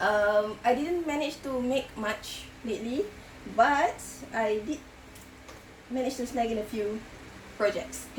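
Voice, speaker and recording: A woman with a high pitch and ordinary pitch variation speaks with long, frequent pauses in a room with audible echo. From Singapore. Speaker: crochet podcaster. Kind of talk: casual vlog chat. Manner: hesitant with many fillers.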